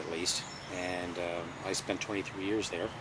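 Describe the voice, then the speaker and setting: A man with a very deep, low voice speaks at a moderate pace and fairly even intonation. Room echo is audible, and background noise is noticeable. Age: 60s. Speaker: retired FBI agent. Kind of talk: interview. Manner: halting, many fillers.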